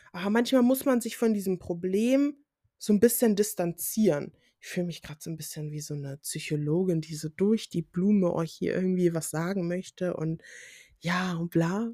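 Recorded very cleanly with a silent background and a dry, close sound free of echo, a woman of medium pitch speaks at a moderate pace in a dark, mellow tone, with ordinary pitch variation and big swings in loudness. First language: English (Pidgin at home) (speaking German). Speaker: podcaster, student. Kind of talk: solo podcast monologue. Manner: casual with English interjections.

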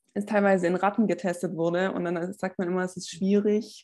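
The speech moves fairly quickly. Its intonation stays flat and monotone. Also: woman. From Swabia, Stuttgart area. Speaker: personal trainer and former track athlete. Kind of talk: podcast interview.

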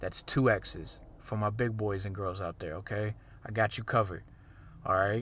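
A man with a fairly low pitch and some vocal fry talks at a moderate pace with fairly even intonation. The recording is very clean, with a silent background. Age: 20s. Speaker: fitness podcast host. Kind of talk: casual solo monologue. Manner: conversational, many fillers and restarts.

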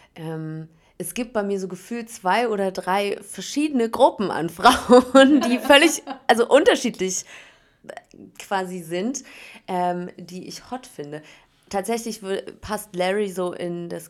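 Very slowly, a woman speaks in a medium pitch, with big swings in loudness and lively intonation. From Berlin, Germany. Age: 30s. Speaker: reality TV contestant and radio host. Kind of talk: casual interview chat. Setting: hotel room.

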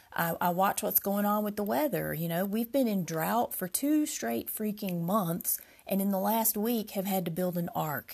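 Her voice is somewhat breathy, with a medium pitch for a woman. The woman speaks with hardly any pauses. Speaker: podcast host, rune practitioner. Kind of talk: solo podcast monologue.

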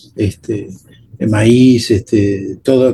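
A man talks in a dark, mellow tone that is somewhat breathy. His pitch variation is ordinary. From Argentina, Buenos Aires suburbs (Temperley). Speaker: guitarist and composer. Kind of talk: casual interview conversation.

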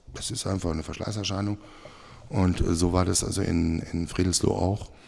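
A man's very deep, low voice, dark and mellow in tone, with fairly even intonation. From Germany, moved from Switzerland at age 12. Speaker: church musician. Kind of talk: casual interview. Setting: church room.

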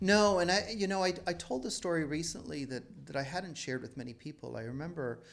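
A man talks at a fairly quick pace with lively intonation. He has an ordinary speaking voice. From Toronto, Canada. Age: 50s. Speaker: novelist. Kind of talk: interview.

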